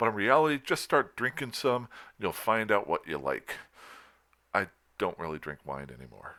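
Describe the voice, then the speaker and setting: A man's voice with vocal fry and very wide pitch swings, broken by long, frequent pauses, on a very clean recording with a silent background. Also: medium pitch for a man, moderate pace. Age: 50s. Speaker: gaming youtuber. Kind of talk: casual monologue. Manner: halting.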